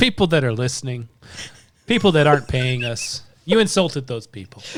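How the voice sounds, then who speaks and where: Using a plain, everyday voice at medium pitch, a man speaks at a fairly quick pace with lively intonation and big swings in loudness. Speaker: podcast co-host. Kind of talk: casual chat.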